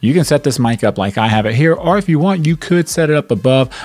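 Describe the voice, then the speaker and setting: In a dry sound with no echo, a man talks at a very fast pace. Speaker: tech reviewer. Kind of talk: tutorial. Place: home room. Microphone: studio mic.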